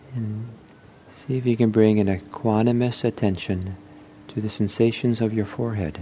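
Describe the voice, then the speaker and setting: Somewhat breathy and dark, mellow in tone, a man speaks at a fairly low pitch. His intonation is fairly even and his pace moderate. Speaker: meditation teacher. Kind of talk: guided meditation, body scan with a short teaching intro. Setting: talk given at a meditation center.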